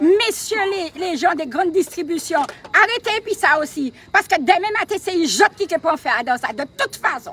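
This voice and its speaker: Over noticeable background noise, a woman uses a raised, projected voice with an extremely high pitch, very wide pitch swings and an animated tone at a moderate pace, in a dry, close sound with no echo. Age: 60s. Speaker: protest supporter. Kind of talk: impassioned public speech.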